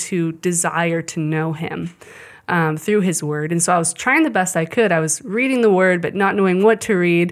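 A woman with a US Midwestern accent, fairly low pitch and fairly even intonation. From Kansas City area, US Midwest. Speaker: Bible institute student. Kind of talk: testimony.

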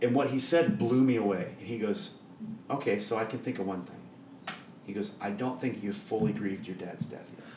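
There is audible room echo as a man with a Midwestern US accent talks at a fairly quick pace with big swings in loudness. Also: medium pitch for a man, ordinary pitch variation. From Iowa, Des Moines. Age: 40s. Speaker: church worship leader. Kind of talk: casual chat. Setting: home kitchen.

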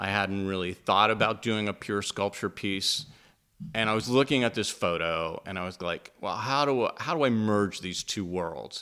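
In an American accent, a man speaks at a moderate pace with a fairly low pitch and ordinary pitch variation. His tone is bright and sharp, and the recording is very clean with a silent background. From Pittsburgh, Pennsylvania. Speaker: woodworker and sculptor, podcast co-host. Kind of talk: casual interview chat. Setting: home studio. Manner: halting, repeats words.

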